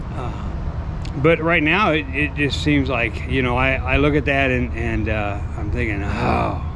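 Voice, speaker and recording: Over noticeable background noise and audible room echo, a man talks at a fairly slow pace with hardly any pauses. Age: 70s. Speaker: vlogger. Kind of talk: motivational talk. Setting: outdoors.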